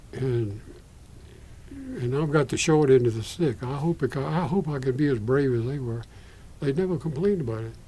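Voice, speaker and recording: Somewhat breathy and dark, mellow in tone, a man speaks at a medium pitch with ordinary pitch variation. His pace is moderate, with long, frequent pauses. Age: 80s+. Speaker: retired Methodist minister. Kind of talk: oral history interview. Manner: halting.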